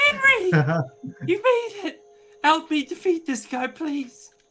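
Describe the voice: The pitch is extremely high and squeaky in this put-on character voice. Delivery is fairly slow.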